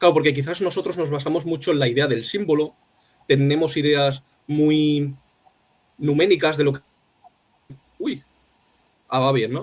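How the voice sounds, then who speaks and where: Fairly high male voice at a moderate pace, with fairly even intonation. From Spain, Alicante. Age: young. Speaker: poet. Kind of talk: interview conversation. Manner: halting.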